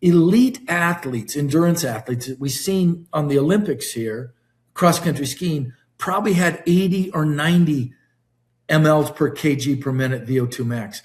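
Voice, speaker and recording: At a moderate pace, a man speaks in a somewhat breathy, fairly high-pitched voice with lively intonation. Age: 60s. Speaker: wellness company executive and physiologist. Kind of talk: interview podcast. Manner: animated.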